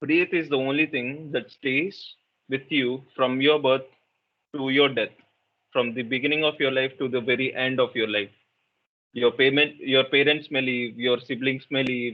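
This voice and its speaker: Monotone and flat, a man's medium-pitched voice proceeds at a fairly slow pace. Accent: Telugu. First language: Telugu. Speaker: meditation workshop facilitator. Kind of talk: interactive workshop talk.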